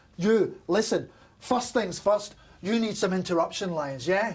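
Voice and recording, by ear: Using a put-on character voice, a man speaks at a high pitch and a fairly slow pace, with lively intonation and a slightly husky edge.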